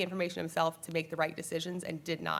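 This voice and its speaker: A woman's fairly low voice on a very clean recording with a silent background. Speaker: trial attorney. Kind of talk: panel presentation. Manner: fast.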